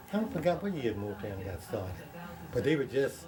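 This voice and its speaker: Very wide pitch swings mark the voice over noticeable background noise. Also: man. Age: 80s+. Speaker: record store owner. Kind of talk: interview.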